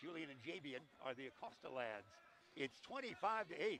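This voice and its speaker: Here a man is talking. The pitch swings very widely from moment to moment. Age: old. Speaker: play-by-play announcer. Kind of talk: live commentary. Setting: broadcast booth at a high school gym. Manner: loud; animated.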